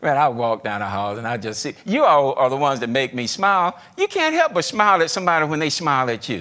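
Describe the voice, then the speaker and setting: With a strong Southern US accent, a man talks in a bright, sharp tone, his pitch swinging very widely. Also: quiet background. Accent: heavy Southern US. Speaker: retired corporate executive. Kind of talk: leadership talk. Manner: conversational.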